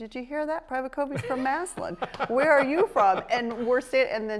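The woman speaks at a fairly quick pace. Light background noise can be heard. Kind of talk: interview answer. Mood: animated, laughing storytelling. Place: studio. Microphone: lapel.

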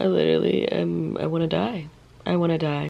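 A woman's put-on character voice, raspy and very deep and low in pitch, at a fairly quick pace. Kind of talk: casual vlog chat. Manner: miserable, complaining. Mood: exaggerated exhausted despair.

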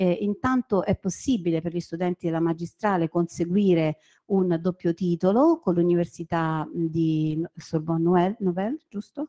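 A woman speaks with a dark, mellow tone and fairly low pitch. Her pace is moderate, and the background is quiet. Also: ordinary pitch variation. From Rome, Italy; Italy. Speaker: university lecturer. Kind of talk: presentation. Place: classroom. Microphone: handheld.

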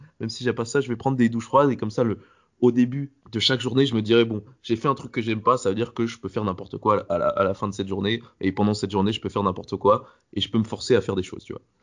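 At a very fast pace, a man talks in a medium pitch with fairly even intonation. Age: 20s. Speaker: podcast host interviewing. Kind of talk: interview.

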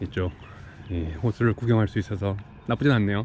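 Over light background noise, a man speaks at a very fast pace with a fairly low pitch, ordinary pitch variation and a dark, mellow tone in a dry sound with no echo. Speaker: vlogger on a work trip. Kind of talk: casual vlog chat. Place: waterside. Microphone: phone near.

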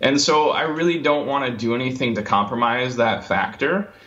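A man with a medium-pitched voice talks at a moderate tempo, his pitch varying in an ordinary way, while noticeable noise fills the background. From US Midwest (Michigan). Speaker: entrepreneur. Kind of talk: interview. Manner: halting, many fillers.

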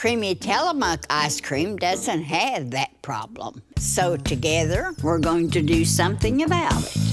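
Music plays in the background as a woman speaks at a fairly slow pace. She leaves hardly any pauses. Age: 80s+. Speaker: internet personality. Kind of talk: TV commercial read.

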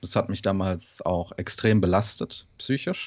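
With ordinary pitch variation, a man with a very deep, low voice speaks at a fairly slow pace against a quiet background. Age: 20s. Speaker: bodybuilding coach and student; bodybuilding coach. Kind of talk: casual interview. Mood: personal, reflective story. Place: home room. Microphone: studio mic.

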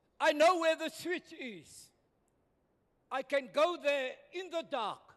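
A man with an extremely high pitch speaks at a very slow pace. His loudness swings widely, while his pitch variation is ordinary. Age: 70s. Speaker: retired pastor. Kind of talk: public hearing submission. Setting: community hall public hearing. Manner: impassioned, preacher-like.

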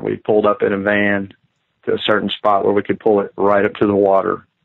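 At a fairly quick pace, a man speaks with a Kentucky accent and a fairly low pitch. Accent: Kentucky Southern US. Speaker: outdoorsman recounting encounter. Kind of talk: testimony.

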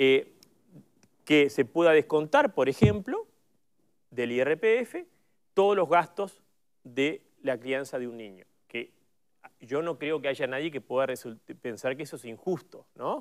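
Very slow pace with long, frequent pauses, lively intonation and big swings in loudness against a quiet background. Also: man. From Uruguay. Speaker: politician. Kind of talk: panel discussion. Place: studio.

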